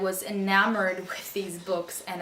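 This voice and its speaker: A woman with a medium pitch talks, and noticeable background noise can be heard. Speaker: booktuber, aspiring writer. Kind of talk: casual talk to camera.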